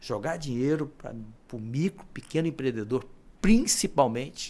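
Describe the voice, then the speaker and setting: Fairly slow in pace, this man talks in a mid-range pitch that varies in a usual way. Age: 60s. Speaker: businessman and former senator. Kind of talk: podcast interview. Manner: halting, with frequent repetitions.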